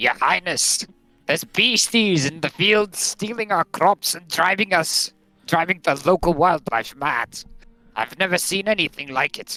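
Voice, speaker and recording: This is a put-on character voice with a gruff edge. It sits at a middle pitch and moves at a moderate pace. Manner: worried, urgent.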